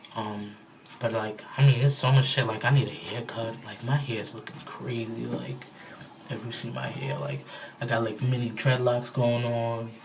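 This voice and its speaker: Over noticeable background noise and audible room echo, a man speaks at medium pitch and a moderate pace, his intonation fairly even and his loudness swinging widely. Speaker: vlogger. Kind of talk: casual video diary. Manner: casual, filler-heavy.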